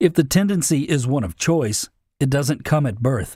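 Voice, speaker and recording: On a very clean recording with a silent background, a man speaks with a fairly high pitch and a dark, mellow, somewhat breathy tone. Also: dry, close sound with no echo. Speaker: narrator in practice. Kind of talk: dramatic speech reading.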